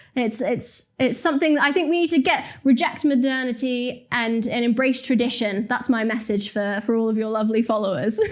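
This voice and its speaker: A woman with a high voice talks with hardly any pauses and ordinary pitch variation. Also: fairly quick pace. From West Midlands, England (Telford). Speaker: journalist and commentator. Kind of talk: interview conversation.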